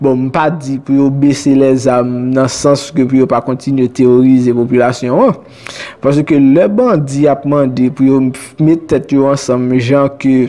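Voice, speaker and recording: Monotone and flat in intonation, a man speaks at a moderate pace. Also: very even loudness. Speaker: news commentator. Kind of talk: commentary. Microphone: phone near.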